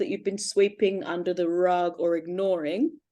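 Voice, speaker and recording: Speaking in a British accent, a woman keeps a moderate pace. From Britain. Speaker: astrology podcast co-host, self-described witch. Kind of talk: casual chat.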